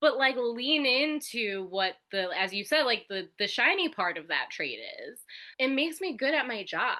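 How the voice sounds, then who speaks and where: A loud, animated woman's voice, high-pitched, with very wide pitch swings, at a moderate pace. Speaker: arts institution worker. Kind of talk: casual chat.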